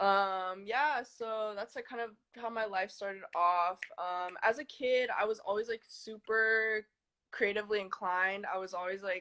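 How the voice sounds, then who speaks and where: The woman's delivery is fairly slow and fairly even in intonation, her pitch in the medium range. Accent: Californian. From US West Coast, San Francisco Bay Area (Fremont). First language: Chinese. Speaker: artist. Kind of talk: interview.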